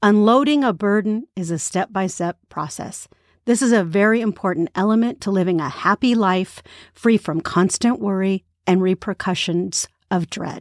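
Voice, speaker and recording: In a very clean recording with a silent background and a dry, close sound with no echo, a woman with an unremarkable speaking voice talks at a moderate pace, her medium pitch showing ordinary variation. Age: 50s. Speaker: podcast host and author reading her own book. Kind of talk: casual spoken reflection; reading aloud from her book.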